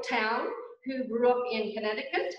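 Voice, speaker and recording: There is audible room echo around a woman who speaks at a high pitch. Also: quiet background. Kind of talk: interview answer, gallery tour. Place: classroom. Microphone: video call.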